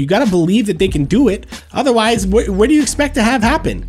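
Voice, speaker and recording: Over noticeable background noise, a man with a Canadian accent talks in an animated tone, his high voice making very wide pitch swings. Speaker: hockey fan streamer. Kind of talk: live stream chat. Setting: live stream.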